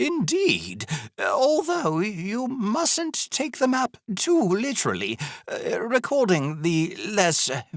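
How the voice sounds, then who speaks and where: Putting on a character voice, a man pitches it extremely high. He moves at a very slow pace. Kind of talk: audiobook narration. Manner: hesitant, rambling.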